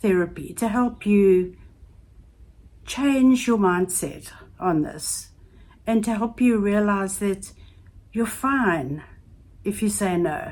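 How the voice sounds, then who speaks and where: Speaking very slowly with long, frequent pauses, a woman uses lively intonation at a medium pitch. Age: 70s. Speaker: YouTube life advice vlogger. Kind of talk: casual advice talk to camera.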